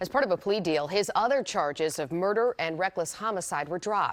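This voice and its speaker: In an American accent, a woman with an unremarkable speaking voice talks at a fairly quick pace, her medium pitch carrying lively intonation. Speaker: television news anchor and reporter. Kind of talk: TV news anchor delivery.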